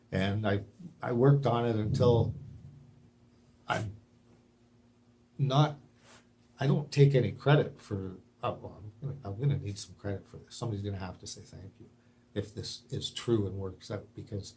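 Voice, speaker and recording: A man with a medium pitch and dark, mellow tone talks at a moderate pace, somewhat breathy, with ordinary pitch variation, big swings in loudness and long, frequent pauses. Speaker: video blogger with a medical theory. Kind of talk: monologue to camera. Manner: halting.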